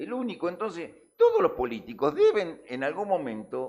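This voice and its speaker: The man's delivery moves at a fairly slow pace. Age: 60s. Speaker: news show panelist. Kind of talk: heated debate. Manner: animated; halting.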